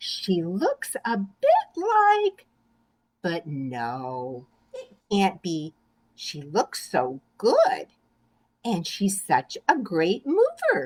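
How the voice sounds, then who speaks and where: A woman's put-on character voice at a medium pitch and a very slow pace. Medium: read story. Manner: mocking.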